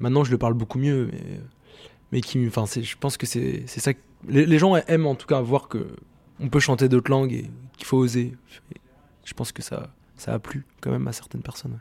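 A man speaks at a moderate pace and medium pitch, with fairly even intonation. His loudness swings widely, and he leaves long, frequent pauses. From France, Rennes (Brittany). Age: 20s. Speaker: singer. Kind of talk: interview. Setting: studio. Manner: halting, many fillers and repetitions.

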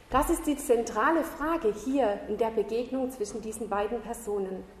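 A voice with lively intonation moves at a fairly slow pace, with noticeable background noise and audible room echo. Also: woman. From southern Germany. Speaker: Bible school teacher, lay preacher. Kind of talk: sermon.

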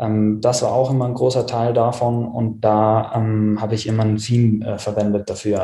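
A man with a medium-pitched voice speaks in a dark, mellow tone that is somewhat breathy. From South Tyrol, Italy. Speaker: web design agency owner. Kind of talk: interview.

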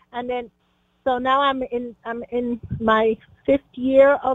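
A woman speaks with a high-pitched voice. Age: 60s. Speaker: caller, retired teacher. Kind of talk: phone-in question. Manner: halting.

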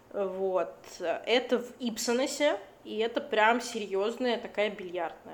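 Speaking at a very slow pace, a woman has a fairly high pitch. Her pitch variation is ordinary. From Latvia. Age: 20s. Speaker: artist and illustrator. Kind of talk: casual chat.

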